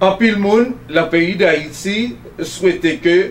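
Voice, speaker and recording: A man speaks very slowly, his pitch varying in an ordinary way. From Haiti. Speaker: TV talk show host. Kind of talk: TV interview. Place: studio.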